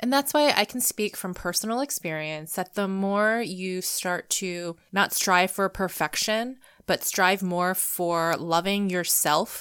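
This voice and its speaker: A woman speaks at a fairly slow pace in a normal speaking voice, medium in pitch with ordinary pitch variation. The recording is very clean with a silent background, and the sound is dry and close with no echo. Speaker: podcast host. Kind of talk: solo podcast monologue. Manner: personal, conversational, earnest.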